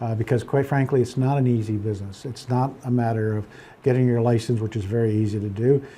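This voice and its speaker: Very fast speech from a man, somewhat breathy, dark and mellow in tone, at a medium pitch with fairly even intonation, on a very clean recording with a silent background. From Pennsylvania, Poconos. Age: 70s. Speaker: real estate broker. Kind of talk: interview. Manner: halting, many fillers and repeats.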